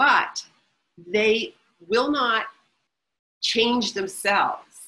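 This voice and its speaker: A woman talks with lively intonation and a bright, sharp tone. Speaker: author and researcher. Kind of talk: webinar interview. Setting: online webinar. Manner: fast.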